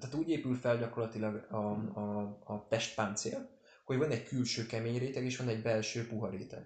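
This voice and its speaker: A man's somewhat breathy voice at medium pitch, fairly quick, with fairly even intonation. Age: 20s. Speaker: podcast host. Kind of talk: casual chat. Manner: hesitant with many fillers.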